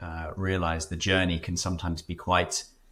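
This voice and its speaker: A man's very deep, low voice with a bright, sharp tone and a British accent, at a moderate pace with fairly even intonation, on a very clean recording with a silent background. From Britain. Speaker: startup founder. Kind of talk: podcast interview. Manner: hesitant, many fillers.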